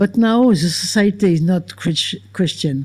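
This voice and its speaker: A woman talks very slowly at a medium pitch with ordinary pitch variation. Her voice is somewhat breathy. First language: French. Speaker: philosopher and author. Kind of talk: Q&A answer after a lecture. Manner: halting.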